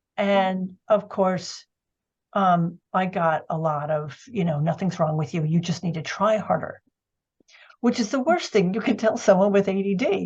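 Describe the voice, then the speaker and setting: Somewhat breathy, a woman with an American accent speaks at a fairly slow pace with ordinary pitch variation. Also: medium pitch for a woman. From US Northeast. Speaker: ADHD coach and art therapist. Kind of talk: interview.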